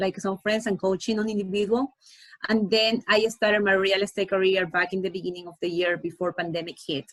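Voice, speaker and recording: A woman with a non-native accent speaks at medium pitch with fairly even intonation, in a dry, close sound with no echo. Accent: non-native English speaker. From Ecuador. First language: Spanish. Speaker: nonprofit founder. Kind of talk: interview. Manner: halting, with fillers and repetitions.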